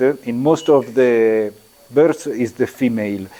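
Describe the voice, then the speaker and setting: The delivery moves at a fairly slow pace. Pitch varies in an ordinary way. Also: man. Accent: Italian. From Italy. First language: Italian. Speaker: architecture lecturer. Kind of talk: lecture. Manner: halting, many fillers.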